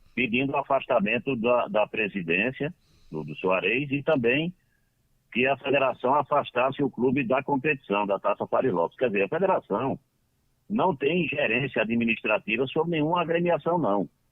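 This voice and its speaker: Lively intonation from a man at a medium pitch and a moderate speed. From Northeast Brazil, Ceará (Lavras da Mangabeira). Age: 60s. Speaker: football club council member. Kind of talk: radio interview. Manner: halting.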